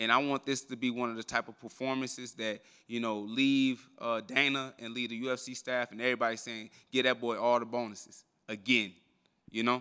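The speaker talks at a fairly quick pace with a bright, sharp tone over a quiet background. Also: man. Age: 20s. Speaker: professional MMA fighter. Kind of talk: media day interview. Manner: animated. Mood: relaxed, confident. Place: hall.

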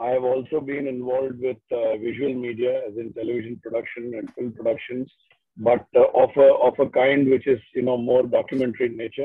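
A man speaks at a fairly quick pace in a flat, monotone delivery. The sound is dry with no echo, and the background is quiet. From India. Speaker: cultural entrepreneur. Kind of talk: discussion. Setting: video call from a car. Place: car. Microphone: video call.

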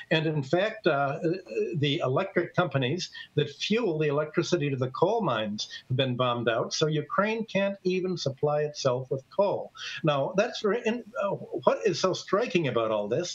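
Lively intonation marks a man with an American accent who speaks at a high pitch and a moderate pace. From US Midwest. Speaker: economist; guest. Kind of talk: interview. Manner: halting. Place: home room. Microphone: webcam.

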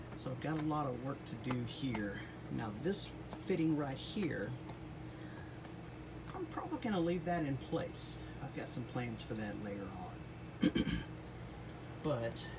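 This is a man speaking. Noticeable background noise runs beneath him. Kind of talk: casual DIY vlog walkthrough. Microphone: phone near.

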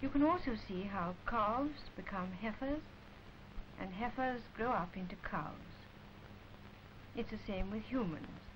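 A woman with an English accent speaks at a fairly slow pace, her fairly high pitch carried by lively intonation. Long, frequent pauses break up her speech, and background noise is noticeable. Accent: received pronunciation, posh. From England. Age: adult. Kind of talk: educational film narration. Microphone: old recording.

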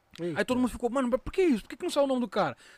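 A man speaks with lively intonation in a dry sound with no echo. Faint music plays in the background. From Brazil. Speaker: rapper; podcast guest. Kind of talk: casual chat. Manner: halting. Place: studio. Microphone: studio mic.

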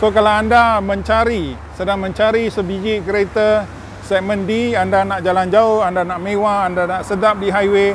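With a high pitch and a monotone, flat delivery, a man speaks at a moderate pace in a dry sound with no echo and light background noise. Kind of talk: casual car review commentary. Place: street. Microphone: phone near.

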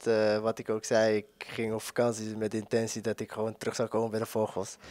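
The recording is dry, with no echo and a quiet background. The speaker is a man. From Amsterdam, Netherlands; Netherlands. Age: 20s. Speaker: footballer. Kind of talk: interview. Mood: relaxed, friendly, smiling. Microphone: handheld.

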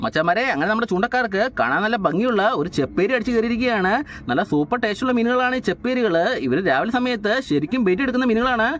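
Talking fast with few pauses, a man uses a high pitch and lively intonation. His tone is fairly bright.

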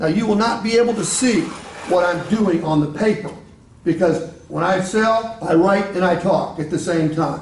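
In a room with audible echo, a man speaks at a fairly quick pace in a high pitch with ordinary pitch variation. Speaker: sales trainer. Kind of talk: training talk with role-play.

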